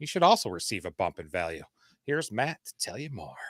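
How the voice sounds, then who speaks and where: A man's bright, sharp voice with a Michigan accent, on a very clean recording against a silent background. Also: dry, close sound with no echo. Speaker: fantasy football co-host. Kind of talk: casual live-stream chat; scripted segment reading. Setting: live stream.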